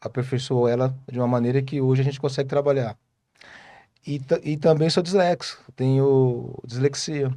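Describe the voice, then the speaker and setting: Speaking at a moderate pace against a quiet background, a man with a medium-pitched voice has a dark, mellow tone and fairly even intonation. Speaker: speech therapist. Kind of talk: interview. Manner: halting.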